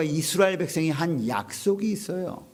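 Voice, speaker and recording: A man's fairly slow speech, with ordinary pitch variation, carries audible room echo. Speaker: pastor. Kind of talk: sermon. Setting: online revival meeting video.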